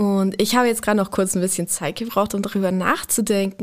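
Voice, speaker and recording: A woman's medium-pitched voice comes through on a very clean recording against a silent background. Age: 20s. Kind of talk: podcast interview.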